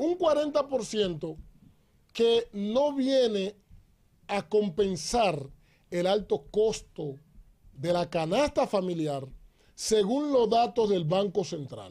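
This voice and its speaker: A man's dark, mellow tone at a high pitch, with very wide pitch swings, a very slow pace, long, frequent pauses, and a very clean recording with a silent background. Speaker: pastor and commentator. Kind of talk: political commentary.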